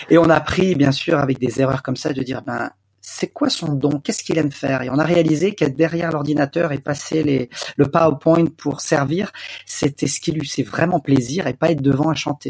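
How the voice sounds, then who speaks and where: A man's fairly high, somewhat breathy voice, fairly quick in pace and fairly even in intonation. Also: dry, close sound with no echo. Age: 40s. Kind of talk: interview. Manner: hesitant, many fillers.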